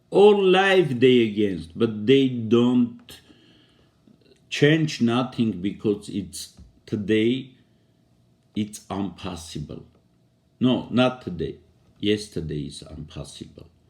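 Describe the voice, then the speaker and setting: A man with a non-native accent speaks at a very slow pace, with long, frequent pauses. His medium pitch swings very widely, and his loudness shifts in big swings. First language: non-native English speaker. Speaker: poet and commentator. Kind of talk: video monologue on politics. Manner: halting.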